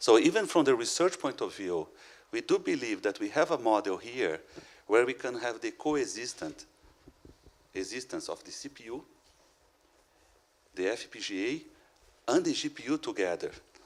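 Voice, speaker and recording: Big swings in loudness, a moderate pace, and long, frequent pauses. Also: man. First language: not English. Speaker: educator and conference speaker. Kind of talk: conference Q&A. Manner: halting.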